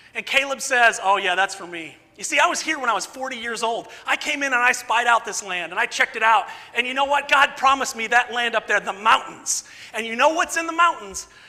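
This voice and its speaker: A man speaks in a raised, projected voice, extremely high in pitch, at a fairly quick pace. His pitch variation is ordinary, and there is noticeable background noise. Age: 50s. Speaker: preacher. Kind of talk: sermon. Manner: animated.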